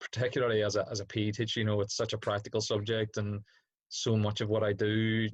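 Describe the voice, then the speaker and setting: In a Northern Irish accent, the speaker talks at a fairly quick pace with monotone, flat intonation. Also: man, quiet background. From Northern Ireland, Derry. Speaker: PE teacher. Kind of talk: casual chat. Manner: hesitant, many fillers.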